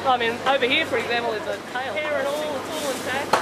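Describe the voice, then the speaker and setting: The speaker talks at a fairly quick pace over loud background noise. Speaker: travel vlogger. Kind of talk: casual vlog chat. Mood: amused, curious. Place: market. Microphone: camera far.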